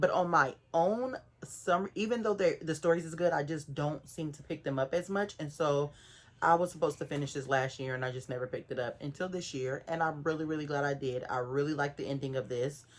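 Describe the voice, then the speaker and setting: This woman has an American accent and a very deep, low pitch. She talks at a fairly quick pace with ordinary pitch variation. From Oakland, California. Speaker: booktuber. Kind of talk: casual book review vlog. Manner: halting, self-correcting.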